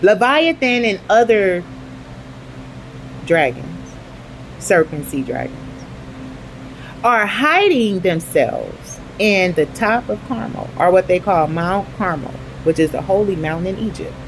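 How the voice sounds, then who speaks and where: With long, frequent pauses, a woman speaks in an animated tone at a fairly slow pace amid noticeable background noise. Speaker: online video host. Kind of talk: religious commentary monologue. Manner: halting, stumbling over words.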